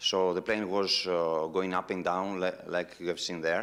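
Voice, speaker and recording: Speaking with a non-native accent, a man uses a very deep, low pitch at a fairly slow pace. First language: Greek. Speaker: human-powered aircraft pilot. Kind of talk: audience Q&A anecdote. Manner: halting.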